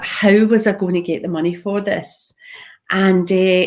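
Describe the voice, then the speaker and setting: A woman with a Scottish accent, in a very clean recording with a silent background. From Scotland, Glasgow. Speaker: property investor. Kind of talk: live talk on own story.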